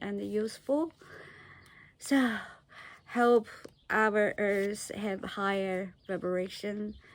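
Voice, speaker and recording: A woman talks at a very slow pace, keeping her intonation fairly even. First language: not English. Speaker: vlogger. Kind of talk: personal talk to camera. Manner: halting, many fillers.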